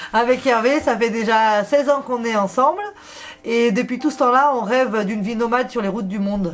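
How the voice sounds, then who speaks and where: Over noticeable background noise, a woman speaks in a fairly high voice with ordinary pitch variation. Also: fairly quick pace. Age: 30s. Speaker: travel vlogger. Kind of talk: casual chat.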